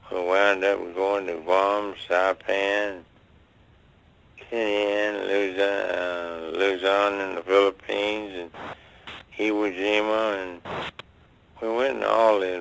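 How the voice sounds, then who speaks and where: Speaking with an American accent at a very slow pace, a man has a very deep, low pitch and fairly even intonation. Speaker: war veteran. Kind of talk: interview answer.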